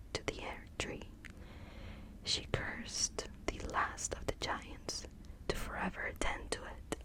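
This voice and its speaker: A woman whispers at a fairly slow pace. Noticeable background noise is present. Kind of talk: ASMR lore reading. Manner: whispered, soft-spoken.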